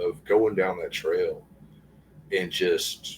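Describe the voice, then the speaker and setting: A man speaks at a fairly slow pace. He talks with a Southern accent. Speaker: guest sharing encounters. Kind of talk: casual interview, personal testimony.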